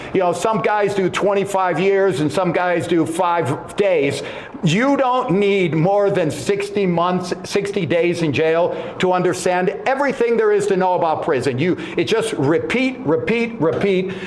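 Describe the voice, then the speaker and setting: Amid noticeable background noise and audible room echo, a high-pitched man speaks at a fairly slow pace with very even loudness and ordinary pitch variation. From Montreal, Canada. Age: 60s. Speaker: former wrestler and author. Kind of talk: casual chat. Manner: halting, repeats words.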